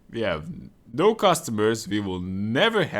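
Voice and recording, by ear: A text read aloud in a natural voice.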